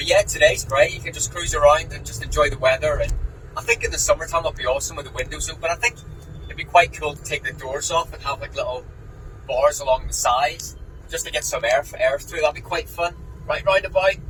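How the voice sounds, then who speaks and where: A man at a very fast pace, with big swings in loudness, over noticeable background noise. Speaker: vlogger car owner. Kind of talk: casual vlog while driving. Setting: in a car. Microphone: echoey inside car.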